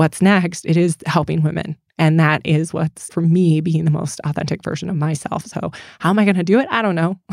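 Here a woman with an American accent uses a normal speaking voice, fairly low in pitch, at a fairly quick pace with fairly even intonation, and the sound is dry and close with no echo. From US Midwest, Michigan. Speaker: apparel company founder, military veteran. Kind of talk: casual interview.

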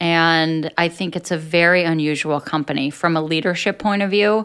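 A woman with an American accent speaks at a moderate pace in a fairly low pitch with fairly even intonation, a plain, everyday voice. The recording is very clean, with a silent background. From US, New Jersey (Atlantic City). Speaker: business executive. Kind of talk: interview.

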